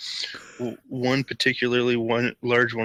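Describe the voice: A plain read-aloud delivery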